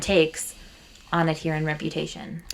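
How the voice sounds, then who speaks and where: Bright and sharp in tone, a woman with a fairly low pitch speaks at a moderate pace. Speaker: podcast co-host. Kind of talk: casual chat.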